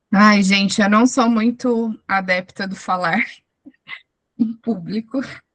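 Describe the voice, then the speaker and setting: Her intonation fairly even, a woman speaks at a fairly high pitch and a very slow pace, with long, frequent pauses. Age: 30s. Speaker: self-employed lawyer and mother. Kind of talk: testimony in online support meeting.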